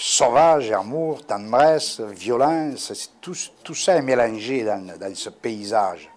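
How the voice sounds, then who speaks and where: A man with a Corsican accent. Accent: warm Corsican. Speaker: sculptor. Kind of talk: interview answer. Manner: casual, hesitant.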